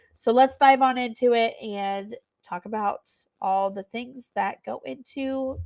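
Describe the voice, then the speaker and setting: The very clean recording, silent in the background and dry and close with no echo, carries fairly slow speech with ordinary pitch variation and big swings in loudness. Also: woman. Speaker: podcast host, venue owner. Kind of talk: solo podcast, business advice. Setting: office. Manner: casual, conversational.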